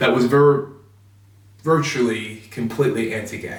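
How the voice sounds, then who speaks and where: With an American accent, a man speaks in fairly even intonation amid audible room echo. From US Midwest, Chicago. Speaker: reverend. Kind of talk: personal testimony.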